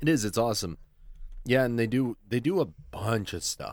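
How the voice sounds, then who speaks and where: Lively intonation marks this man's speech. The sound is dry and close with no echo, in a very clean recording with a silent background. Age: 20s. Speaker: podcast co-host and voice actor. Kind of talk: casual chat.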